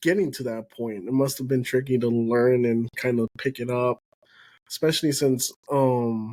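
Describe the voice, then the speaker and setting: A man with a medium pitch speaks at a moderate pace with fairly even intonation, the sound dry and close with no echo on a very clean recording with a silent background. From Texas, Houston; Spanish-speaking immigrant family. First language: Spanish. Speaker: podcast host. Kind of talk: casual chat.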